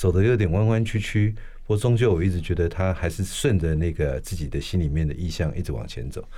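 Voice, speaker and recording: At a fairly quick pace, a man speaks in a very deep, low pitch. His tone is dark and mellow, with ordinary pitch variation. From Taiwan, Taipei. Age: 60s. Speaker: architect and professor. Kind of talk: interview conversation.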